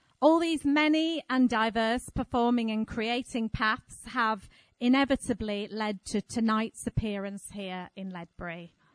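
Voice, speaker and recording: A woman's unremarkable speaking voice, fairly high-pitched with ordinary pitch variation, at a fairly slow pace with hardly any pauses and big swings in loudness, dry and close with no echo over a quiet background. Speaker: festival event presenter. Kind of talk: formal introduction. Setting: stage with audience. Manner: formal.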